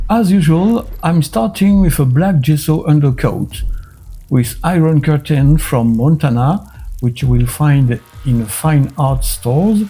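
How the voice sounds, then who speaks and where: A man with a French accent speaks at a fairly slow pace in a fairly high voice with a dark, mellow tone and a somewhat breathy quality. His intonation is lively while his loudness stays very even. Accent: typically French. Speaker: miniature painting youtuber. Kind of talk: tutorial.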